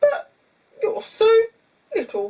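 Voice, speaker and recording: A put-on character voice, squeaky and extremely high in pitch. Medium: read story.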